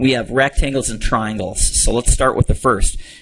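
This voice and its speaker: A man speaks in an ordinary speaking voice at medium pitch, with lively intonation. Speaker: test prep tutor. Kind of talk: tutorial; sales pitch.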